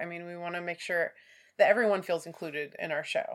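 Delivery comes at a fairly quick pace. Intonation remains fairly even throughout. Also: woman. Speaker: birding podcast co-host. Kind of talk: casual chat. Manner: laughs often.

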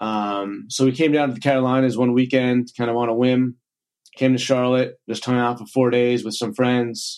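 A man's medium-pitched, monotone voice with flat intonation, in an American accent at a moderate pace. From New York, Long Island. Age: 40s. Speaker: chiropractor and gym business mentor. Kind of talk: casual interview.

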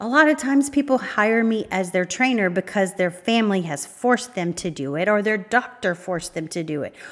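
A woman's unremarkable speaking voice at medium pitch and a fairly quick pace. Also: lively intonation, hardly any pauses. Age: 50s. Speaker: podcast host, fitness trainer and life coach. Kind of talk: solo podcast monologue.

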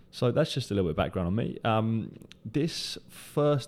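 The voice has a dark, mellow tone in a very clean recording with a silent background. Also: man. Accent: British. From UK. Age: 20s. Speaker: podcast host, recruiter. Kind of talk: solo podcast monologue.

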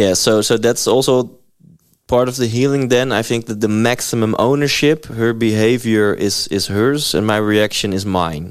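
Medium in pitch with ordinary pitch variation, a man speaks at a moderate pace in a Dutch accent. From Netherlands. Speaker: podcast host. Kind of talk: interview.

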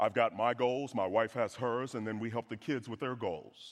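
Moving at a fairly quick pace, a man with a Southern US accent speaks at medium pitch. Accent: Southern American. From US South. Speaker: guest preacher, financial speaker. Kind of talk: sermon. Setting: church with congregation. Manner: animated.

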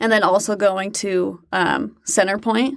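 In a plain, everyday voice, a woman talks at a fairly slow pace with an American accent. Her pitch is medium and her intonation fairly even. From Utah. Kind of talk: interview conversation. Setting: in-person studio. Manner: casual, many filler words.

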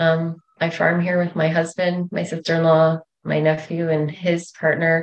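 Speaking in a Canadian Prairie accent, a woman with a fairly low pitch talks at a moderate pace in a monotone, flat intonation. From rural Manitoba, Canada. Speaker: author. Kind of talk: interview.

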